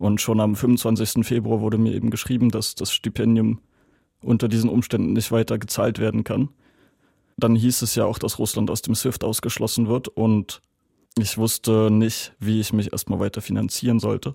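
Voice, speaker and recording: Monotone, flat delivery from a man at medium pitch, dark and mellow in tone, at a moderate pace, with a dry, close sound with no echo on a very clean recording with a silent background. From Germany. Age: 20s. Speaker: student and German language teacher. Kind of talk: interview testimony.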